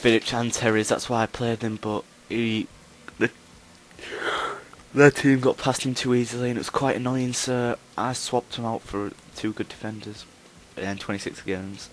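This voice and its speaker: With noticeable background noise behind him, a man talks in a medium-pitched, monotone, flat voice and takes long, frequent pauses. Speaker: gaming YouTuber. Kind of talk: gameplay commentary. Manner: fast; hesitant, many ums.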